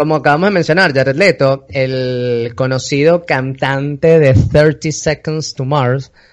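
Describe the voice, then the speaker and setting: A man talks in a fairly high voice with ordinary pitch variation. He barely pauses, and the background is quiet. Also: fairly slow pace. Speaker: podcast host. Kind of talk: casual chat. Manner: animated.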